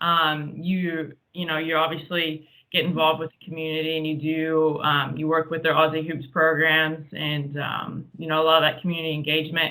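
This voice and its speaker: With an American accent, a woman speaks in a very deep, low pitch at a moderate pace, hardly pausing. Her intonation is monotone and flat, while her loudness swings widely. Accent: American, noticeable in Australia. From US Midwest, Columbus, Ohio. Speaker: basketball player and coach. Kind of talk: casual interview.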